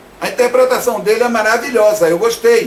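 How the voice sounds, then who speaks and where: Here a man speaks at an extremely high pitch. Noticeable background noise runs underneath. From Brazil, Salvador suburbs (Bahia). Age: 60s. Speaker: actor and theatre director. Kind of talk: video statement, personal rebuttal. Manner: halting, self-correcting.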